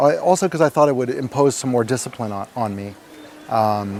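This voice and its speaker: A man in a New York accent at a fairly quick pace, over noticeable background noise. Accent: New York American. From US, New York. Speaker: meditation retreat participant. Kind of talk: testimony. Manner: fast.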